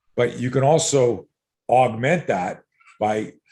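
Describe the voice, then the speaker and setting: In a Canadian accent, a man talks at a medium pitch with ordinary pitch variation. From Canada, Montreal. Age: 60s. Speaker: self-defense coach. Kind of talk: casual chat. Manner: animated.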